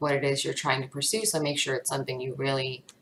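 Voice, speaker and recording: Fairly even intonation from a woman at a very deep, low pitch. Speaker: tarot reader. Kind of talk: tarot reading monologue. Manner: casual, filler-heavy; shaky voice.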